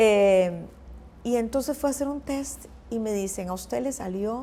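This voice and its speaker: A woman speaks at a moderate pace and medium pitch. Her tone is dark and mellow, with lively intonation. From Costa Rica. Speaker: journalist and news anchor. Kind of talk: interview answer.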